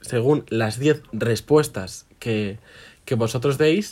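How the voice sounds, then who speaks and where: The man's pitch varies in an ordinary way as he talks at a very slow pace. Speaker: podcast co-host. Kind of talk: casual chat. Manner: animated.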